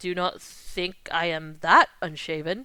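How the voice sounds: Putting on a character voice, a woman talks fairly slowly at a medium pitch.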